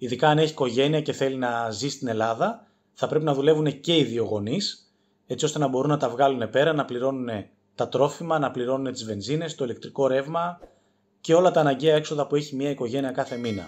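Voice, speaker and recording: This man's voice sits fairly high, moving at a fairly quick pace with ordinary pitch variation over a quiet background. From Greece, Athens. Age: 30s. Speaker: warehouse manager. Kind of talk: casual monologue. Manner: hesitant, with filler sounds.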